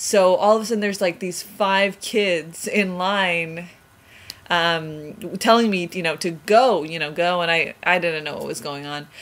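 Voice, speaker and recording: The speech moves at a fairly slow pace with ordinary pitch variation and big swings in loudness. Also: woman, fairly low pitch for a woman. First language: Spanish. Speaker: vlogger. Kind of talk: personal storytelling. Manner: hesitant, many fillers.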